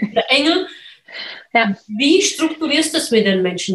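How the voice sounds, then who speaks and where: A woman's fairly high voice with very wide pitch swings, at a fairly slow pace. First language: not German (speaking German). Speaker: podcast host, real estate investor. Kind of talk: interview.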